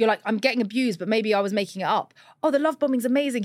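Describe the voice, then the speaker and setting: A woman with a British accent speaks at a fairly high pitch with ordinary pitch variation. The recording is very clean, with a silent background. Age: 30s. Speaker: dating story guest. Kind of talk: personal storytelling in casual chat.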